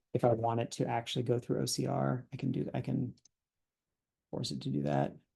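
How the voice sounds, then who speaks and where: This man talks at a fairly quick pace and a medium pitch, with ordinary pitch variation. His dark, mellow tone has vocal fry. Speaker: software developer. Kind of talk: software demo tutorial. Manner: fast; halting, many fillers.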